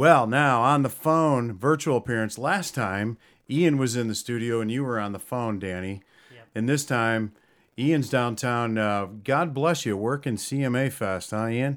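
At a fairly slow pace, a man speaks at a medium pitch with ordinary pitch variation on a very clean recording with a silent background, an unremarkable speaking voice. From New York. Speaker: metal music radio host. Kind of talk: casual radio chat.

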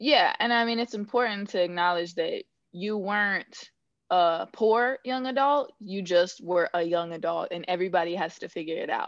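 Against a quiet background, a woman with an American accent speaks at medium pitch and a moderate pace with ordinary pitch variation. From Northern California. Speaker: financial planner. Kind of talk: podcast interview. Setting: remote call.

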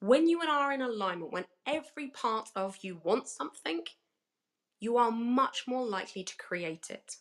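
A woman with a British accent talks at a moderate pace, her fairly high voice making very wide pitch swings. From Britain. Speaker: business coach and speaker. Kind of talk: workshop talk. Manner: cheeky, playful.

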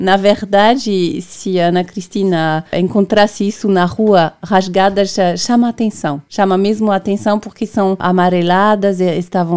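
With a French accent, a woman talks at a fairly slow pace. Her medium pitch follows fairly even intonation. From Brittany, France. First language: French (speaking Portuguese). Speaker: documentary maker and radio presenter. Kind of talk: radio interview. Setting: radio studio.

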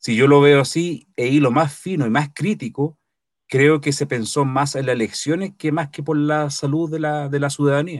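Recorded very cleanly against a silent background, a man with a normal speaking voice speaks at a fairly high pitch and moderate pace with fairly even intonation. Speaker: co-host. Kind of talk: casual chat.

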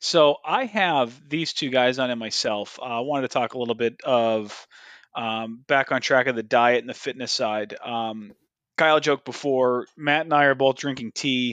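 A man's plain, everyday voice, medium in pitch, at a moderate pace with fairly even intonation against a quiet background. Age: 30s. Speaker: podcast host. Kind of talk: casual chat.

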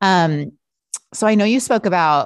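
Here is a woman with an ordinary speaking voice and lively intonation at a moderate pace. The background is quiet. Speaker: podcast host. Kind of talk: casual interview chat. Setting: video call.

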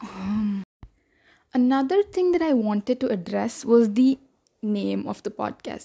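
A woman speaks at a fairly slow pace with long, frequent pauses, her somewhat breathy, dark and mellow voice sitting fairly high in pitch, with lively intonation and a dry, close sound with no echo. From India. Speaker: student podcaster. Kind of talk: casual podcast monologue.

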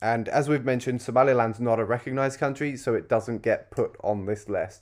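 The speaker talks at a fairly quick pace with a British accent and ordinary pitch variation. The recording is very clean with a silent background. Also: man. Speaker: podcast host. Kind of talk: casual chat, podcast discussion.

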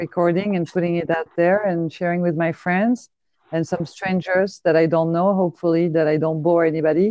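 With a French accent, a woman speaks at a fairly quick pace in a fairly low pitch. Her loudness is very even and her intonation fairly even. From France. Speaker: podcaster. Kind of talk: casual chat. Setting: phone call.

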